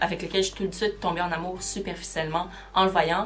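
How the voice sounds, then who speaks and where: Over noticeable background noise, a woman speaks with a Quebec accent. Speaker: booktuber. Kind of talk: casual vlog talk.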